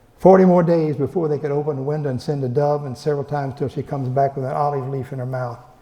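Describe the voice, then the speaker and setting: A man speaks at a fairly high pitch. He goes very fast, with fairly even intonation. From Texas. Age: 80s+. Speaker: professor. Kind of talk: lecture. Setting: library event room with audience. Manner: halting, many repeated words.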